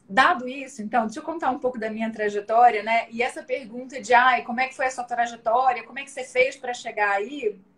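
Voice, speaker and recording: In a Rio de Janeiro accent, a woman speaks at a high pitch and moderate pace, with ordinary pitch variation and big swings in loudness. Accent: carioca. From Brazil, Rio de Janeiro. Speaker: data analytics director, economist. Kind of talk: live stream interview. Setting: online live stream. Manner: casual, many fillers.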